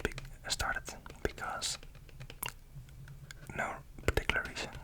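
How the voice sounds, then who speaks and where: A man whispering, breathy, at a moderate pace, with noticeable background noise. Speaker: ASMR YouTuber. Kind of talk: ASMR whisper ramble. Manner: whispered, close-up, breathy.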